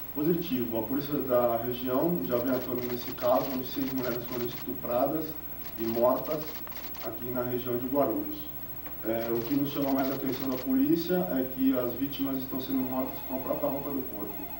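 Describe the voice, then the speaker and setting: Over noticeable background noise and audible room echo, a man speaks at a moderate pace with fairly even intonation. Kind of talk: press statement. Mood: serious, formal, slightly hesitant. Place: office.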